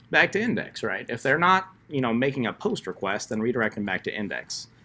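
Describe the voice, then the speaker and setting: Noticeable background noise runs under this clip. A man speaks at a fairly quick pace with lively intonation. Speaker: coding instructor. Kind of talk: tutorial. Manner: fast.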